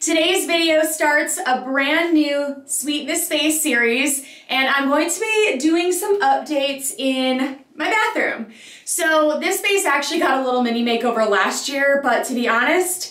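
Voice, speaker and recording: The voice moves at a fairly slow pace with ordinary pitch variation, audible room echo and a quiet background. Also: woman, high pitch for a woman. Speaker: home decor vlogger. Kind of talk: casual vlog chat.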